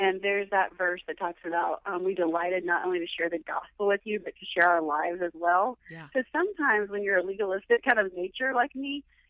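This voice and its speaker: With an American accent, a woman uses a normal speaking voice at a medium pitch, moving at a fairly quick pace with ordinary pitch variation. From Florida, US (Orlando). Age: 40s. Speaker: church volunteer and mother. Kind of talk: casual interview chat. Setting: phone call.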